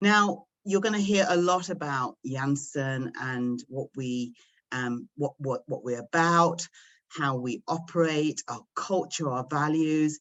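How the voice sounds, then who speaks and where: A woman talks at a very slow pace. Her very deep, low voice has lively intonation. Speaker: pharmaceutical supply chain executive. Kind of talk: presentation at virtual recruiting event. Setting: video call.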